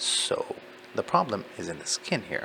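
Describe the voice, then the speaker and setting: A man with a non-native accent at a fairly slow pace, amid noticeable background noise. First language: not English. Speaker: medical student studying for licensing exam. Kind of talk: study session reading aloud with commentary. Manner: slow, deliberate; halting, many fillers.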